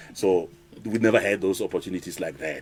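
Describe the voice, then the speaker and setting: Over music in the background, a man talks at a moderate pace in a fairly low, monotone voice with flat intonation. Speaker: radio DJ. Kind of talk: interview. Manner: some words not pronounced clearly.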